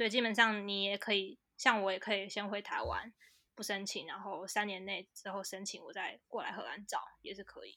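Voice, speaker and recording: Bright and sharp in tone, the voice moves at moderate pace with fairly even intonation on a very clean recording with a silent background. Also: woman. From Taiwan. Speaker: graduate student and language account creator. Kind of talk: casual interview chat. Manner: halting, many fillers.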